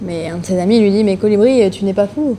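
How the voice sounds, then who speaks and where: A woman with ordinary pitch variation is heard against noticeable background noise. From northern France, Lille. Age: 20s. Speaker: eco-association co-founder, traveler. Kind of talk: podcast interview.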